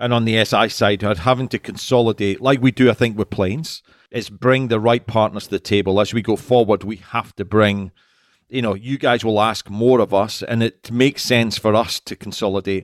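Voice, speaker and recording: A man with a Scottish accent, medium in pitch, fairly quick and fairly even in intonation, in a dry, close sound with no echo against a silent background on a very clean recording. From Scotland. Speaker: podcast host, industry consultant. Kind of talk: casual interview.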